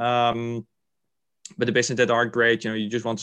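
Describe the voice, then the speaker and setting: A man with a Dutch accent, medium pitch and monotone, flat intonation. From Netherlands, Rotterdam. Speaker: venture investor. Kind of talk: interview. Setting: video call. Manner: halting.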